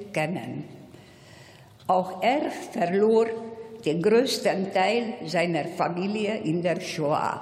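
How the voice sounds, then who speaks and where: A woman speaks at a very slow pace, her pitch medium with ordinary variation. Noticeable background noise and audible room echo fill the recording. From Hungary. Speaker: Holocaust survivor. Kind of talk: commemorative speech. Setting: parliament plenary hall.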